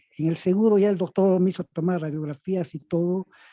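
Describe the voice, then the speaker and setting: A man speaks at a high pitch with a dark, mellow tone. The sound is dry and close, with no echo. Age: 60s. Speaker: webinar participant asking a question. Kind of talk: live Q&A question.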